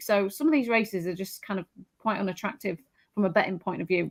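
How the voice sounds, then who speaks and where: A woman with a strong Yorkshire accent, very fast pace, ordinary pitch variation. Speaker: horse racing tipster. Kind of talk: casual panel discussion.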